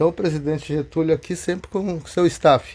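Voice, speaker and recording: The tone is dark and mellow. The pace is moderate. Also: man. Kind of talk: interview answer. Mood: proud, enthusiastic. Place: train. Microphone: handheld.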